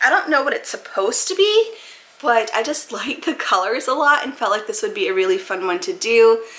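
With an American accent, a woman speaks at a fairly quick pace in a high pitch, her voice making very wide pitch swings. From Maine, US. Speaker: YouTuber; puzzle hobby youtuber. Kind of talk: casual product haul video; casual haul vlog chat. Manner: casual, filler-heavy. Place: home room.

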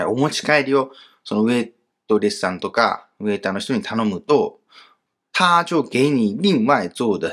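A man speaks at a medium pitch and a moderate pace, his pitch swinging very widely. The recording is very clean, with a silent background. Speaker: Chinese language teacher. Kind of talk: grammar lesson.

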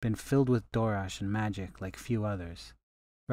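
A quiet background behind plain reading aloud

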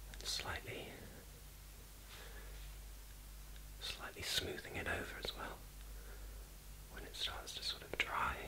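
A man is whispering. He leaves long, frequent pauses. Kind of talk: soft-spoken personal attention role-play. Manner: soft, slow ASMR murmur.

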